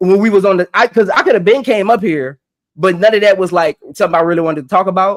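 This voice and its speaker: Shouting loudly in an animated tone, a man with a high voice races at a very fast pace with ordinary pitch variation, the sound dry and close with no echo. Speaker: podcast host. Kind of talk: live stream panel discussion. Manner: loud, yelling.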